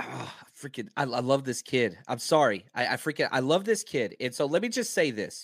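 In a very clean recording with a silent background, a man speaks with an American accent. His fairly high pitch swings very widely at a moderate pace. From Dallas, Texas. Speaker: football podcaster and analyst. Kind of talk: casual sports discussion.

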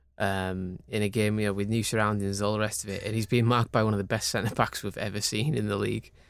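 A man talks in a fairly low pitch with monotone, flat intonation. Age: 30s. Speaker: football pundit. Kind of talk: casual chat. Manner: halting.

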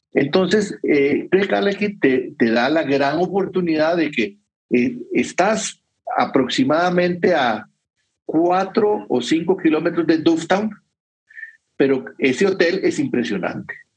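A man speaks at a very slow pace. His voice is high-pitched. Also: lively intonation. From Costa Rica. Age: 50s. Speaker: whisky educator. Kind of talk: casual interview with travel anecdotes.

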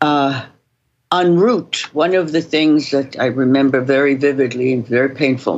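The speech moves at a moderate pace with fairly even intonation and very even loudness. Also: woman, very deep, low pitch for a woman. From Romania. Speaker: Holocaust survivor. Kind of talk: interview.

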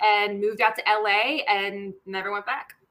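Speaking with an American accent, a woman has a fairly high pitch. Her tone is bright and sharp. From Washington DC. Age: 30s. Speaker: actress. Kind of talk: casual chat.

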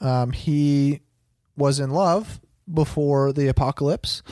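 On a very clean recording with a silent background and a dry, close sound with no echo, a man has an unremarkable speaking voice with fairly high pitch and fairly even intonation. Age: 20s. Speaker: podcast host, movie reviewer. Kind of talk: casual chat.

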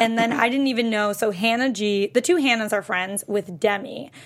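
Noticeable background noise sits behind a woman's voice. She talks at a moderate pace with a fairly high pitch and ordinary pitch variation. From US Northeast, western Massachusetts. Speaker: podcast co-host. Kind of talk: casual chat. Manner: animated.

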